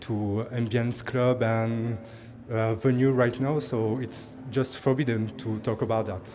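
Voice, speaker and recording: A man speaks with a French accent at a medium pitch, fairly slowly and in a flat monotone. Music plays in the background, and the room echo is audible. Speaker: musician. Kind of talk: backstage interview. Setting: backstage at live music event. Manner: halting.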